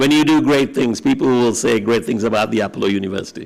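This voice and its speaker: A man talks at a very fast pace. His pitch is medium. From Sri Lanka. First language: Tamil. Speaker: university vice chancellor. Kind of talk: commencement speech. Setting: convocation ceremony with audience.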